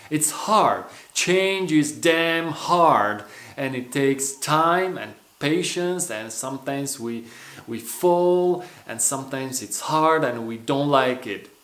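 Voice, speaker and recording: With a Romanian accent, a man speaks at a very slow pace and a fairly high pitch, with ordinary pitch variation and big swings in loudness, amid noticeable background noise and audible room echo. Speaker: personal development coach. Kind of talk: motivational vlog talk.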